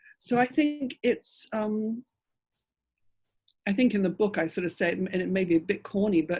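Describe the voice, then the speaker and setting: Somewhat breathy voice with an English accent. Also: woman. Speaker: author. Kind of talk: panel discussion. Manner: halting.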